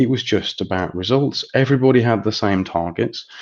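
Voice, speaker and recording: A man speaks with an English Midlands accent and ordinary pitch variation. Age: 40s. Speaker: estate agency chief executive. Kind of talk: interview.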